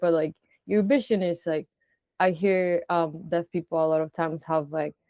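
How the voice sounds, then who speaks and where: In a Spanish accent, the speaker uses a dark, mellow tone and monotone, flat intonation at a moderate pace. The sound is dry and close, with no echo. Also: woman. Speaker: interviewer. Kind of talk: interview. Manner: halting, many fillers and restarts.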